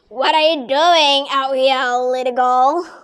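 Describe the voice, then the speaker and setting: In a put-on character voice, a woman speaks high, squeaky and croaky. Her pace is fairly slow. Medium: read story. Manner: sly, falsely sweet.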